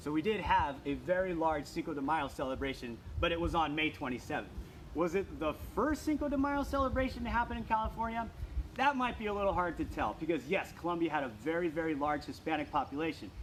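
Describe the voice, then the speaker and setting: A man speaks at a very fast clip, his pitch swinging very widely in an enthusiastic tone. Noticeable background noise sits behind him. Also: fairly high pitch for a man. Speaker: state park interpreter. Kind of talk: virtual tour for children, live stream. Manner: casual, enthusiastic.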